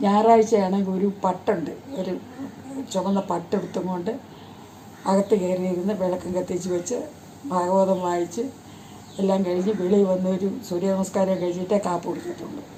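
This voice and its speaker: The speaker is a woman with a mid-range pitch. She talks in a flat, unvarying monotone. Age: 90s. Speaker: elderly storyteller. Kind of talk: casual storytelling. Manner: halting.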